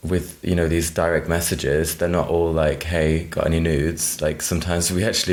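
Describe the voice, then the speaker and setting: A man with a very deep, low voice and a British accent speaks in a flat monotone at a moderate pace, with audible room echo and noticeable background noise. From United Kingdom. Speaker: drag queen. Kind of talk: podcast interview. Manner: casual, many fillers like 'like'.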